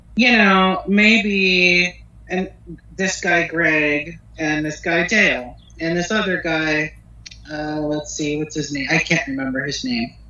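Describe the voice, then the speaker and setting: A woman with a Pennsylvania accent at a very slow pace, with noticeable background noise. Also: fairly low pitch for a woman, ordinary pitch variation. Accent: US Northeast (Pennsylvania). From northeastern Pennsylvania. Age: 30s. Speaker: hair and makeup artist. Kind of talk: interview. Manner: halting.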